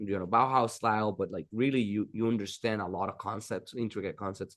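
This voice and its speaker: A man with a Dominican accent speaks at a medium pitch and in fairly even intonation against a quiet background. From Dominican Republic. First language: Spanish. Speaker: architect. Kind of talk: interview.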